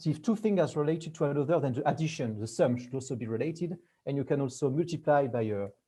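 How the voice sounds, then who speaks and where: A man talks at a fairly quick pace with fairly high pitch. His tone is dark and mellow and somewhat breathy. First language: not English. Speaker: researcher giving a talk. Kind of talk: lecture. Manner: halting.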